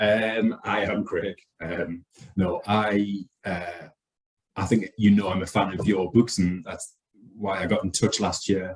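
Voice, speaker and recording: A man speaks with a northeast English accent at a fairly low pitch. His pace is fairly slow and his intonation fairly even. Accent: northeast England. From northeast England. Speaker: archaeologist. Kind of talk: casual chat.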